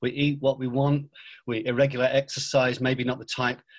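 Somewhat breathy, a man speaks at a fairly quick pace and medium pitch. His intonation is monotone and flat. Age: 40s. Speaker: pastor. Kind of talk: casual interview.

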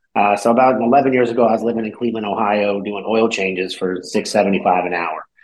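Using an unremarkable speaking voice, a man talks at a fairly quick pace with hardly any pauses, his pitch fairly low and his intonation fairly even. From California. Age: 30s. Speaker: business owner. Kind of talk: interview. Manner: casual.

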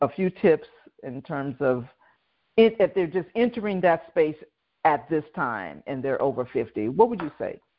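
With long, frequent pauses, a woman speaks at a very deep, low pitch with very wide pitch swings. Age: 60s. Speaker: podcast host and business coach. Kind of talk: interview.

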